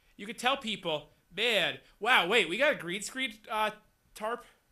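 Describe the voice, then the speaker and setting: A man's raised, projected voice with a bright, sharp tone and ordinary pitch variation. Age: 20s. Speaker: talk show host. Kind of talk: casual chat. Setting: studio. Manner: halting.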